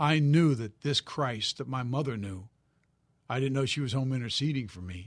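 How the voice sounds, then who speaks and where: A man with a plain, everyday voice speaks at a medium pitch and a moderate pace. His pitch variation is ordinary, over a quiet background. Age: 60s. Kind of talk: interview. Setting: studio.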